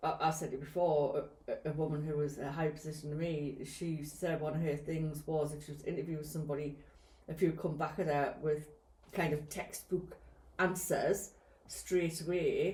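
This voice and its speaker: A woman with a Geordie accent, very deep and low in pitch, monotone and flat at a moderate pace, in audible room echo. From northern England, Newcastle/Gateshead. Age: 60s. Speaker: podcast co-host, care worker. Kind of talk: casual chat.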